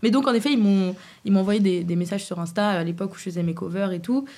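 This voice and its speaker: A woman with a dark, mellow, somewhat breathy tone talks fairly quickly at medium pitch with ordinary pitch variation. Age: 20s. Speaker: singer. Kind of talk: casual chat.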